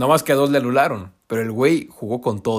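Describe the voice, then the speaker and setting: On a very clean recording with a silent background, a man talks at a fairly quick pace and medium pitch in an animated tone. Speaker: football pundit. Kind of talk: casual commentary; scripted narration.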